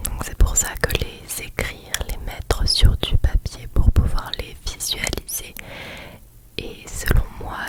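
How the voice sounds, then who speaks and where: Whispering at a very slow pace, a woman speaks in a calm tone over noticeable background noise. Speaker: ASMR creator. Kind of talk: ASMR reassurance talk. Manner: whispered, soft, calm, slow.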